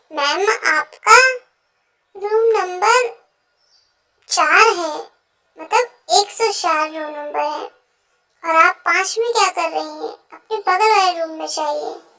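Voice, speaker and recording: Putting on a character voice at an extremely high pitch with ordinary variation, a woman speaks at a fairly slow pace with long, frequent pauses. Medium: read story.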